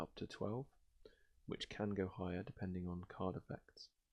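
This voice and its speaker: Soft-spoken and fairly low in pitch, this man has a British accent. He keeps a moderate pace with fairly even intonation. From Britain. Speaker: ASMR gaming video host. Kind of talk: casual gameplay commentary and rambling.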